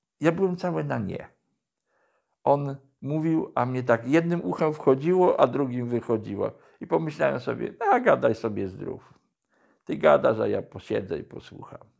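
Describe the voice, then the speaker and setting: A quiet background behind a man's moderately paced speech. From Poland, Podkarpacie (Jasło); Podkarpacie, Poland. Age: 60s. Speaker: former drug addict sharing conversion story; interviewee. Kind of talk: testimony. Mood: calm, reflective storytelling. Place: office.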